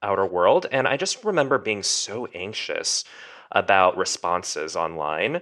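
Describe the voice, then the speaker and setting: In an American accent, a man with an unremarkable speaking voice talks at a fairly low pitch with lively intonation. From US, Korean American. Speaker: young adult author. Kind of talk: interview.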